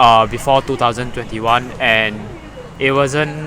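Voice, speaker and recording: With noticeable background noise behind him, a man speaks at a moderate pace in a medium pitch with ordinary pitch variation. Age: 20s. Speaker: student runner. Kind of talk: podcast interview.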